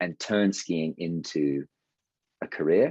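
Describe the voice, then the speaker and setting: The pace here is fairly slow. Pitch varies in an ordinary way. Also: man, dry, close sound with no echo, quiet background. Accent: British. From England. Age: 20s. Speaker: ski instructor. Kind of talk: interview. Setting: podcast. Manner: halting, many fillers.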